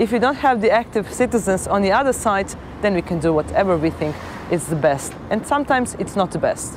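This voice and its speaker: The speaker talks at a fairly quick pace with very wide pitch swings. Noticeable background noise is present. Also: woman, medium pitch for a woman. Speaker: politician. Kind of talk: interview.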